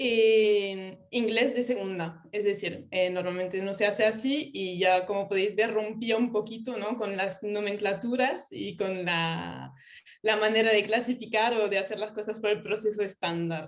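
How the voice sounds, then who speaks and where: Someone with a French accent speaks at a fairly slow pace with fairly even intonation and hardly any pauses. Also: woman, medium pitch for a woman. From France. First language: French (speaking Spanish). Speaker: UX writer and localization specialist. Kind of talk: online talk.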